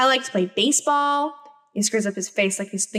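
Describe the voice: The clip consists of plain reading aloud.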